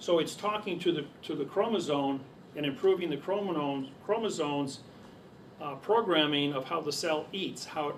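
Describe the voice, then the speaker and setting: Noticeable background noise and audible room echo surround the recording. A man speaks at a moderate pace in a fairly high voice with ordinary pitch variation. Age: 60s. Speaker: seminar speaker. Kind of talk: lecture.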